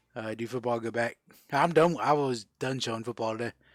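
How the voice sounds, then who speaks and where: Over music in the background, a man with an American accent talks at a medium pitch and fairly quick pace with ordinary pitch variation, in a dry, close sound with no echo. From South Florida (Fort Lauderdale). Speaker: livestream host, card seller. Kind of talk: casual livestream chat.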